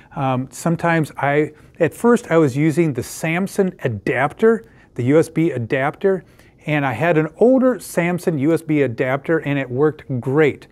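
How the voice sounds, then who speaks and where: Lively intonation marks a man's speech at a moderate pace. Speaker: tech product reviewer. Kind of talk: tutorial. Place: home room.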